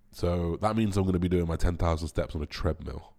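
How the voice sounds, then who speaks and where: A man with a very deep, low pitch and a dark, mellow, somewhat breathy tone talks at a very fast pace in a very clean recording with a silent background. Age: 30s. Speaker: bodybuilder and podcast host. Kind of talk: casual solo podcast monologue.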